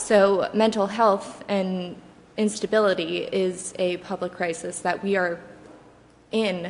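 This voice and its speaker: Soft-spoken and at a fairly slow pace, a woman with a medium pitch keeps a fairly even intonation amid audible room echo. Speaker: public commenter. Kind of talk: public comment at council meeting. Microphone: too quiet, far from the microphone.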